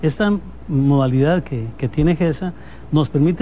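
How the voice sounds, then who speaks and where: Somewhat breathy, the voice carries a dark, mellow tone. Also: man. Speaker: business owner. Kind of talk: interview.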